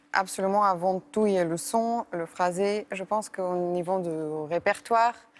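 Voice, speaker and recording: At a moderate pace, a woman of medium pitch speaks with a Bulgarian accent and fairly even intonation. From Bulgaria, Sofia. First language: Bulgarian (speaking French). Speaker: classical violinist. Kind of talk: interview. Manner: hesitant, many fillers.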